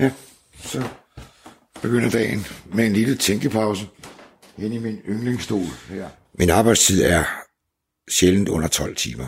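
A man talks at a fairly low pitch and a fairly slow pace, with vocal fry. His pitch varies in an ordinary way, broken by long, frequent pauses. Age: 70s. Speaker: businessman, seal skin products entrepreneur. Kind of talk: casual conversation, reportage interview.

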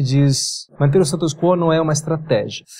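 Fairly even intonation carries through. This man speaks with a fairly high pitch. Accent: Italian. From Italy, Piedmont. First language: Italian (speaking Portuguese). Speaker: tech company executive. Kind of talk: interview. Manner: halting.

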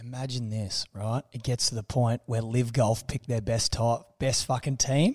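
At a moderate pace, a man talks with an Australian accent and a medium pitch. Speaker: former rugby player and sports podcast co-host. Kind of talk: casual chat.

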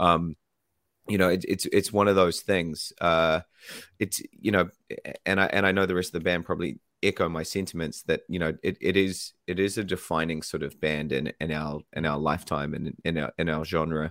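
A very clean recording with a silent background carries a man with a New Zealand accent and a very deep, low pitch. His intonation is fairly even, in a dry, close sound with no echo. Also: moderate pace. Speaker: band singer. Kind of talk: casual radio interview. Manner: warm, chatty.

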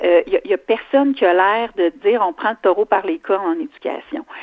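A woman speaks in a Quebec accent. Her pace is fairly quick. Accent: Québécois French. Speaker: provincial politician. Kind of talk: radio interview.

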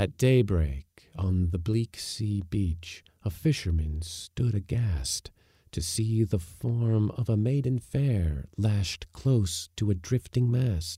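In a very clean recording with a silent background, a man speaks very slowly with hardly any pauses, his dark, mellow, somewhat breathy voice carrying a dramatic, solemn tone and lively intonation in a dry, close sound with no echo. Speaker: podcast narrator. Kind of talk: reading a narrative poem aloud. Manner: dramatic, lyrical, measured; rhythmic, solemn in the closing lines.

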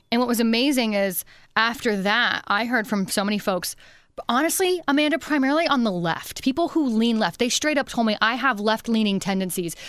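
Her ordinary speaking voice sits at a fairly high pitch, as the woman keeps her loudness very even with lively intonation. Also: fairly quick pace. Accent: American. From Pennsylvania. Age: 30s. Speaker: radio and podcast host. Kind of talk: interview. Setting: studio.

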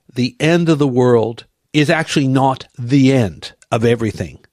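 Recorded dry and close with no echo and a silent background, a man with an American accent speaks at a fairly high pitch with ordinary pitch variation. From United States. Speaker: Bible teacher. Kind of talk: verse-by-verse Bible teaching. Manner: animated.

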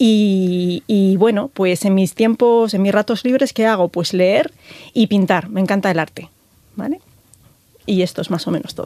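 Dark and mellow in tone, the voice moves at a fairly slow pace with ordinary pitch variation. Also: woman, medium pitch for a woman. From Galicia, Spain. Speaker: telecom engineer and tech executive. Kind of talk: interview. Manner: hesitant, many fillers.

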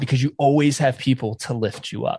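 Somewhat breathy and fairly high in pitch, a man talks with an American accent. The sound is dry and close with no echo, over a quiet background. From North Carolina (near Raleigh). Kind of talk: interview.

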